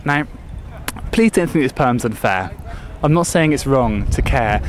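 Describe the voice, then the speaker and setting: A man's voice moves through very wide pitch swings. Noticeable background noise sits behind it. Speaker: slam poet. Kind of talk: slam poetry performance. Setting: outdoors.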